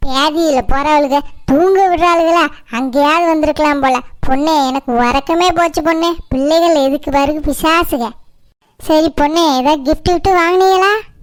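A woman's cartoonish character voice, high-pitched, fairly slow, with very even loudness and fairly even intonation. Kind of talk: comic overacting. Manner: loud, scolding, fond of colourful insults.

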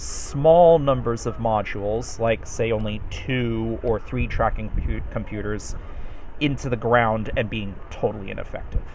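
At a fairly slow pace, a man talks while noticeable background noise runs underneath. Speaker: game tutorial presenter. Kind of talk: tutorial explanation.

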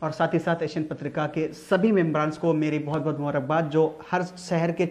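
Delivered at a moderate pace, the intonation is monotone and flat. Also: man. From Uttar Pradesh, India. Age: 20s. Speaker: poet. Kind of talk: greeting and introduction to camera. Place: studio.

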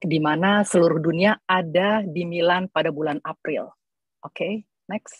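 A woman speaks at a moderate pace in a somewhat breathy, fairly low voice with fairly even intonation. The sound is dry with no echo, over a quiet background. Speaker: entrepreneur; presenter. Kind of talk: panel presentation. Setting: video call. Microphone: video call.

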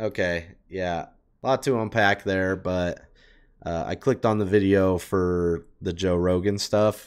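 The speaker uses an animated tone at a fairly slow pace. The background is quiet. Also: man, very deep, low pitch for a man. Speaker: reaction YouTuber. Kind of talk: casual reaction commentary. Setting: streamer talking to chat. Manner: casual, animated. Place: home room. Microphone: headset.

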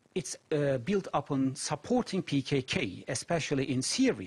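A man speaks at a fairly slow pace, somewhat breathy. His pitch swings very widely. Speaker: security studies lecturer, interview guest. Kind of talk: interview answer. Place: studio.

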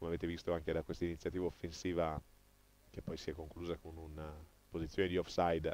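A man with a very deep, low pitch talks at a very fast pace with long, frequent pauses in a dry sound with no echo. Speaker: football match commentator. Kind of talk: live sports commentary, highlights voiceover. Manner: excited, animated, rapid-fire play-by-play with exclamations at goals; partisan, cheering for the home team.

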